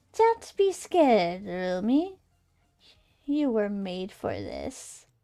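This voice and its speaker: A female-sounding put-on character voice at medium pitch moves at a very slow pace, recorded very cleanly against a silent background. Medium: virtual streamer. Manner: charming, well-spoken, ominous.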